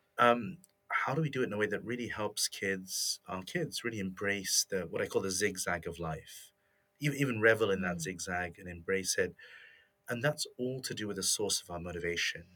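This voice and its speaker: A man with a British accent, fairly low in pitch, bright and sharp in tone, at a fairly quick pace, on a very clean recording with a silent background. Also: ordinary pitch variation. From England. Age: 40s. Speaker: motivation expert and author. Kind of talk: interview.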